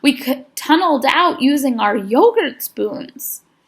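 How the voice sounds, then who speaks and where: A woman performs a put-on character voice. It is high-pitched and fairly slow. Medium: read story. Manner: folksy.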